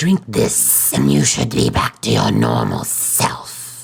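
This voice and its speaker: A man in a put-on character voice with a very deep, low pitch at a fairly slow pace. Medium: solo performance. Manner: gentle but stern.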